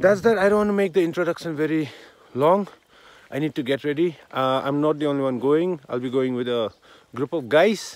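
The recording is dry with no echo, and the man speaks with lively intonation. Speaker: vlogger. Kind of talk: casual vlog chat. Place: open country. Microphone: phone near.

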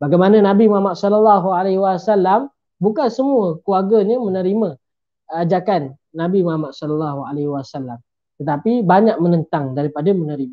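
Against a quiet background, a man speaks fairly quickly at a high pitch with lively intonation. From Kelantan, Malaysia; Malaysia. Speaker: medical graduate and religious speaker; speaker. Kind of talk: religious book talk. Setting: live stream. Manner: formal. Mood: friendly, smiling. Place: home room. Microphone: video call.

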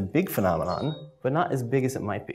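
A man's voice with vocal fry and very wide pitch swings. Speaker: university researcher. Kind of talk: presentation. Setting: stage with audience. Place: meeting room.

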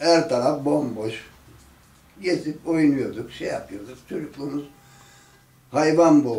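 A man speaks at a very slow pace and a fairly high pitch. Room echo is audible. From Ertuğrul neighborhood, Tire, Izmir region, Turkey. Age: 70s. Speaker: elderly local resident telling oral history. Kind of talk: oral history interview. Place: home room. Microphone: camera far.

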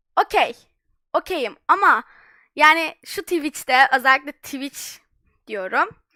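A raised, projected voice with a bright, sharp tone goes at a very slow pace, with long, frequent pauses. The recording is very clean, with a silent background and a dry, close sound with no echo. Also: woman, high pitch for a woman. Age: young. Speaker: streamer. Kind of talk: live stream chat.

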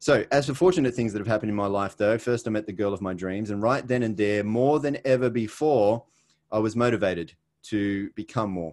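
A man with an Australian accent speaks at a fairly quick pace in a fairly low pitch, his pitch varying in an ordinary way. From Australia, Sydney. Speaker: network marketing presenter. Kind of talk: webinar presentation. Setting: video call.

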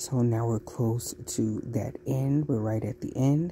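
A woman speaks with an extremely low pitch, a dark, mellow tone and fairly even intonation.

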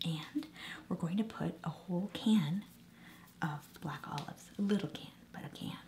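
A soft-spoken woman at fairly low pitch and moderate pace, with long, frequent pauses and light background noise. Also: ordinary pitch variation. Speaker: ASMR creator. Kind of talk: ASMR soft-spoken cooking demonstration. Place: kitchen.

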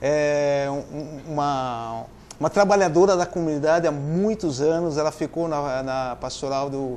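Pitch moves up and down in an ordinary way. Delivery comes at a fairly slow speed. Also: man. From Votorantim, São Paulo state, Brazil; São Paulo state, Brazil. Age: 50s. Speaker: interview guest. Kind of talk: TV interview. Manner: halting. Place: studio. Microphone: lapel.

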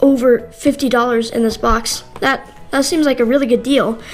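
A woman speaks in a high voice at a fairly slow pace. Music plays in the background. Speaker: unboxing vlogger. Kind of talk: casual unboxing review. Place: home room.

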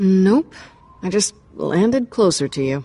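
A woman's put-on character voice, medium in pitch, slow, with lively intonation, a dark, mellow tone and a slightly husky edge

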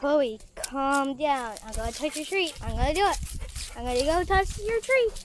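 With faint background noise, a woman talks at a moderate pace in a high voice with lively intonation.

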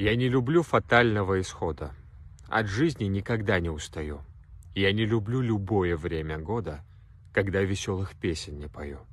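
A man speaks at a fairly slow pace and fairly low pitch, with lively intonation. Long, frequent pauses break up his speech, and the sound is dry with no echo. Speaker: poetry reader. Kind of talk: poem reading. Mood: serious, intense. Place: open country. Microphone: phone near.

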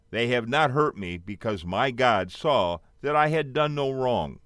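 A man with an unremarkable speaking voice, medium pitch and lively intonation at a fairly slow pace, on a very clean recording with a silent background. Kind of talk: audiobook reading aloud. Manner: steady, measured narration; solemn, earnest storytelling tone.

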